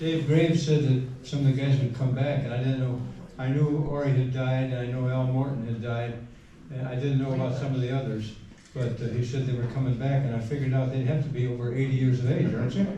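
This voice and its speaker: A man with a medium pitch rattles along at a very fast pace in a flat monotone, with audible room echo around him. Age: 80s+. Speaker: retired cross country coach. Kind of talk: reunion speech. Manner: halting.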